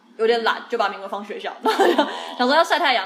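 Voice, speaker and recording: The words rush out at a very fast pace. There is noticeable noise in the background. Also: woman. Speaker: podcast co-host. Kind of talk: casual chat.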